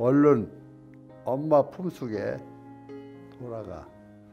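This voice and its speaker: Against faint music in the background, a man speaks very slowly at a medium pitch with lively intonation. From Korea. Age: old. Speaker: elderly channel host. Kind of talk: poetry reading. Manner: emotional, choked up. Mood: emotional, choked up, tearful. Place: studio. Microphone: lapel.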